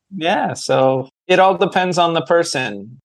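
A man with a plain, everyday voice speaks at a fairly slow pace with ordinary pitch variation. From New Hampshire, US. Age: 30s. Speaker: online fitness coach. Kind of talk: podcast interview. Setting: call.

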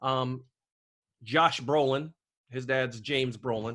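A man speaks loudly at a medium pitch. His tone is bright and sharp, and the background is quiet. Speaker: podcast host. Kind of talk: casual chat about a movie. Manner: loud talker.

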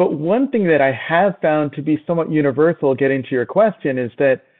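The man has a normal speaking voice at a fairly high pitch. He speaks at a moderate pace with ordinary pitch variation. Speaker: physician and novelist. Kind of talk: casual interview chat.

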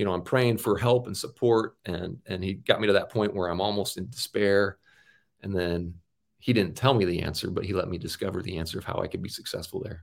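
A man with an American accent and an unremarkable speaking voice, fairly low-pitched, at a fairly quick pace with fairly even intonation, on a very clean recording against a silent background. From US Northwest, Auburn, Washington. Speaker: former professional basketball player. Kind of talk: interview.

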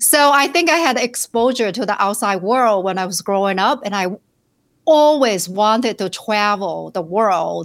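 A woman with a Chinese accent speaks at medium pitch and a moderate pace with lively intonation, in a very clean recording with a silent background. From China, rural southern village. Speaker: financial planner. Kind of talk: interview.

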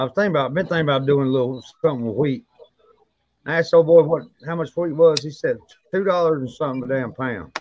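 With a Southern US accent, a man talks at a very fast pace in a fairly high voice with ordinary pitch variation. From North Carolina. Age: 40s. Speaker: podcast host, moonshiner. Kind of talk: casual chat.

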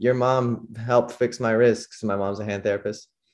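The speech moves at a fairly quick pace with fairly even intonation. The background is quiet. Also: man. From San Francisco Bay Area, California. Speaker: professional skateboarder. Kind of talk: casual interview chat.

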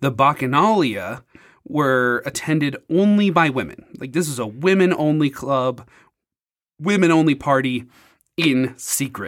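On a very clean recording with a silent background, a man speaks fairly slowly with lively intonation in a plain, everyday voice at a fairly high pitch. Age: 30s. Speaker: podcast host, spoken word poet. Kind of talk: scripted narration; casual chat.

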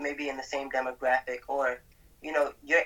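Over noticeable background noise, someone with an American accent talks at a fairly quick pace in a monotone, flat intonation. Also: man. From Brooklyn, New York. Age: 20s. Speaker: mindset coach. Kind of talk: interview.

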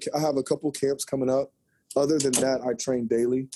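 A man with an American accent speaks at a fairly quick pace in a dark, mellow tone at medium pitch. His intonation is fairly even, and the sound is dry and close with no echo. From southern Indiana, Jeffersonville. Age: 40s. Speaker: former college basketball player, basketball trainer. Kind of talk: casual interview.

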